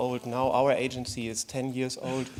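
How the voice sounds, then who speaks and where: Speaking with a German accent, a man uses a medium pitch and a fairly slow pace. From Germany. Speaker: conference panelist. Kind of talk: conference presentation. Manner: halting.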